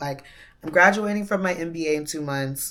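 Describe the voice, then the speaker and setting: Her voice sits fairly low for a woman, with ordinary pitch variation. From Texas. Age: 20s. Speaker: podcast host. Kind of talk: personal monologue podcast. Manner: loud; casual, chatty.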